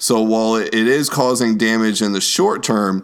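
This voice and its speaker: The speaker has an American accent and a normal speaking voice, with ordinary pitch variation. The recording is very clean, with a silent background. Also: man. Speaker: podcast host and youth minister. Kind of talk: casual political chat podcast.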